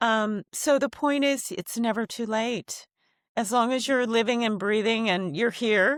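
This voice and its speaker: In a very clean recording with a silent background and a dry, close sound with no echo, a woman with an American accent speaks fairly slowly at a fairly high pitch with ordinary pitch variation. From Japan, then raised in the US. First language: Japanese. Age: 60s. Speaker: singer. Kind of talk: interview conversation.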